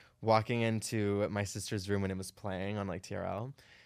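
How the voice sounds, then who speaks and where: A man with an American accent talks at a moderate pace in a fairly low pitch with fairly even intonation. He has an unremarkable speaking voice, captured in a very clean recording with a silent background. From Arizona. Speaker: drag performer. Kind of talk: casual chat.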